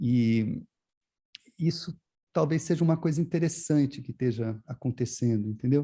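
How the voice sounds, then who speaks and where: A man with a dark, mellow tone and fairly high pitch speaks at a moderate pace, somewhat breathy, with long, frequent pauses. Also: ordinary pitch variation. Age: 60s. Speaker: visual artist. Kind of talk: interview. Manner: halting, many repetitions and fillers.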